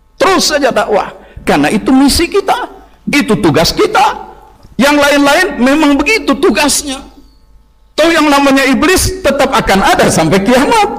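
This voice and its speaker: With very wide pitch swings, a man speaks at an extremely high pitch amid noticeable background noise and audible room echo. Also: moderate pace, very even loudness. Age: 60s. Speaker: Islamic preacher. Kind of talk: sermon.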